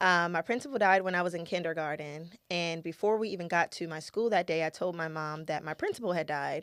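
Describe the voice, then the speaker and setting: In a very clean recording with a silent background, a woman with an American accent and a fairly low pitch speaks at a fairly quick pace with hardly any pauses and ordinary pitch variation. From US, Baltimore. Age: 30s. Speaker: singer and actress sharing her life story. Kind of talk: personal testimony. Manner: hesitant, many fillers.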